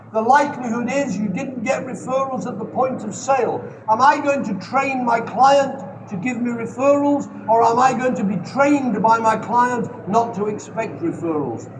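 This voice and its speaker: Against noticeable background noise and audible room echo, a man with an extremely high pitch speaks at a moderate pace with ordinary pitch variation. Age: 70s. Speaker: sales trainer. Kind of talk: Q&A at a seminar. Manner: energetic.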